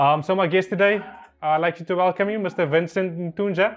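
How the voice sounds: Fairly quick pace and fairly even intonation. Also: man, high pitch for a man.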